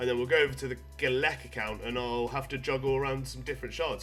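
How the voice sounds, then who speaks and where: A man at a very fast pace over music in the background. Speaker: gaming YouTuber. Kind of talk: casual gameplay commentary.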